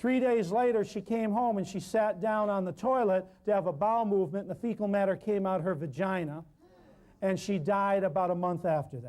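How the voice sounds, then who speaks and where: Loud and animated, a man speaks at a fairly quick pace. His pitch is high, with ordinary variation. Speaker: natural healing herbalist lecturer. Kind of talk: public talk. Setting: live public appearance.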